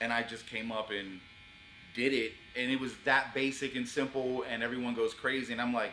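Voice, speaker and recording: Against noticeable background noise, a man with an American accent talks at a fairly quick pace in a medium pitch with monotone, flat intonation. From US, Orlando, Florida (Pine Hills). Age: 40s. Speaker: rapper and show host. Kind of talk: interview. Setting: barbershop.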